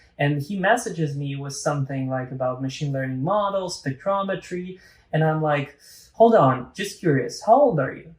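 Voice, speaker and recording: A man uses a plain, everyday voice at a fairly high pitch and a moderate pace. His intonation is lively and his loudness swings widely. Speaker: podcast host. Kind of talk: casual conversation.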